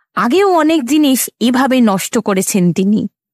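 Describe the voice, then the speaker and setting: Shaky and at a fairly slow pace, a put-on character voice swings very widely in pitch. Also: woman, high pitch for a woman. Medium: audio drama. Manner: tearful, trembling.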